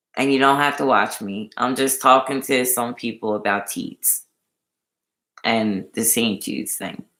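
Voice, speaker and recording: A Philadelphia accent and an animated tone at a fairly slow pace, on a very clean recording with a silent background. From Philadelphia, US. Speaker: YouTube livestreamer. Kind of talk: casual livestream chat.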